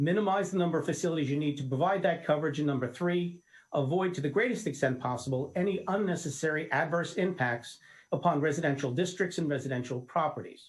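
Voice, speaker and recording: In a very clean recording with a silent background, a man talks at a very fast pace. His pitch is fairly high, with ordinary pitch variation. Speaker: lawyer. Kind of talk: legal briefing to local officials. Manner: confident, assertive.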